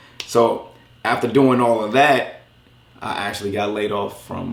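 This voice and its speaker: A man speaks in an animated tone. The room echo is audible, and background noise is noticeable. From Los Angeles, east side. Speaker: YouTube content creator. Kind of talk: interview. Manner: casual, animated.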